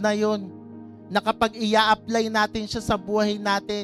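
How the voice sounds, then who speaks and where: With music in the background, the speech moves at a fairly slow pace. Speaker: preacher. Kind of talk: sermon preaching.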